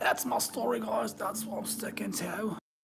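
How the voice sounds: In a put-on character voice, the speaker sounds raspy and keeps a moderate pace. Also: man, high pitch for a man.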